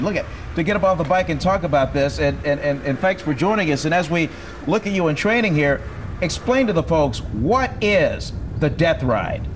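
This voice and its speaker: A man with a high-pitched voice and lively intonation talks over noticeable background noise. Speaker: TV sports anchor. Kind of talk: TV sportscast delivery and on-air interview.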